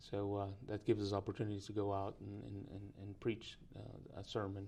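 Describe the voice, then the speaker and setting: In a Spanish accent, a man talks at a fairly quick pace and a fairly low pitch. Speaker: preaching student. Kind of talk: interview. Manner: halting, many fillers and repetitions.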